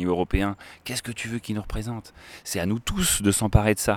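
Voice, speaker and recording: A man speaks at a fairly quick pace in an animated tone. The sound is dry and close with no echo, on a very clean recording with a silent background. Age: 30s. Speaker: river school educator. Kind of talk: casual chat. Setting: outdoors by a river.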